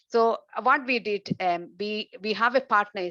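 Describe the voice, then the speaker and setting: A woman's medium-pitched voice with an Indian accent, a bright, sharp tone and ordinary pitch variation. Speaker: researcher and webinar host. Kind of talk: webinar discussion. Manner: halting.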